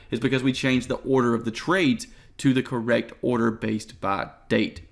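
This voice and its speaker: A man speaks at a medium pitch. Vocal fry runs through his voice. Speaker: trading course instructor. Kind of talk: tutorial. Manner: fast.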